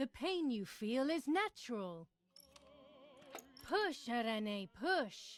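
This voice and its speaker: A female-sounding voice does a put-on character at a high pitch with very wide swings. The pace is very slow, with long, frequent pauses. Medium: video game.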